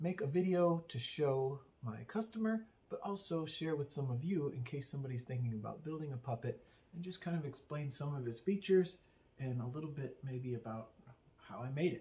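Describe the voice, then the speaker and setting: A man speaks at a fairly quick pace, somewhat breathy, with a dark, mellow tone. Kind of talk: casual show-and-tell explanation. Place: workshop.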